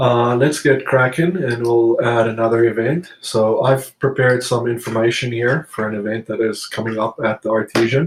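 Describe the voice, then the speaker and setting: A man talks at a moderate pace with hardly any pauses, his medium-pitched voice somewhat breathy. His intonation stays fairly even. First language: not English. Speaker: software tutorial presenter. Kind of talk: tutorial. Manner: hesitant, frequent fillers.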